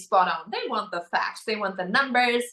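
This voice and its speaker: Speaking fairly quickly with a German accent, a woman uses a high pitch with very wide pitch swings. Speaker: beauty pageant winner. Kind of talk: interview.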